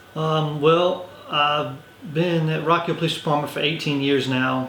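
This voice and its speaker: Someone with an American accent speaks at a fairly slow pace in a monotone, flat intonation. Noticeable background noise and audible room echo fill the recording. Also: man, fairly high pitch for a man. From US South, Orangeburg, South Carolina. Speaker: police lieutenant. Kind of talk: interview. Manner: words run together.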